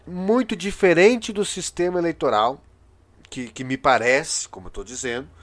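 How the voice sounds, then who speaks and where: A man talks with lively intonation. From Brazil. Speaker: podcast/video host, political commentator. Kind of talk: solo commentary monologue. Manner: halting, many filler hesitations.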